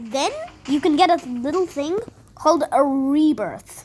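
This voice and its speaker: A woman's high, lively voice at a fairly slow pace over noticeable background noise. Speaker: gaming youtuber. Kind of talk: gameplay commentary. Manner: halting, many false starts.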